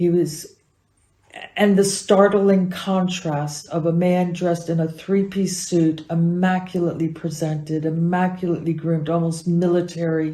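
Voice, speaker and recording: In an American accent, a woman speaks at a moderate pace with a fairly low pitch and monotone, flat intonation. Her tone is dark, mellow and somewhat breathy, with audible room echo. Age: 70s. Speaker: acupuncturist and teacher. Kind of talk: interview answers.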